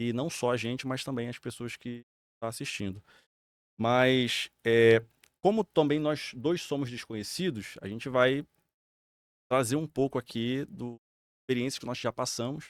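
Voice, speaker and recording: A man with a medium pitch and ordinary pitch variation talks at a fairly slow pace, leaving long, frequent pauses. The sound is dry and close with no echo, on a very clean recording with a silent background. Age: 30s. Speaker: podcast co-host. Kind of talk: casual chat.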